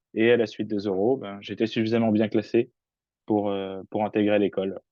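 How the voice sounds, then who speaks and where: At a moderate pace, a man speaks with a fairly low pitch in a monotone, flat intonation. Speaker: engineering student. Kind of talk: webinar talk.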